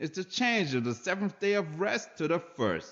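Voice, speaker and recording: His pitch high for a man, this speaker makes very wide pitch swings. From Saint Lucia, West Indies. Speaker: spoken word poet. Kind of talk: religious spoken word monologue. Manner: aggressive, intense.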